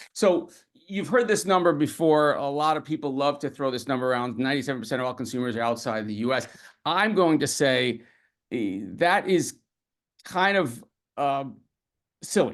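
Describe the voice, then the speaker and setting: A man with fairly high pitch, lively intonation and long, frequent pauses. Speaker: webinar speaker on e-commerce. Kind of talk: webinar presentation. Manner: fast; hesitant, many fillers.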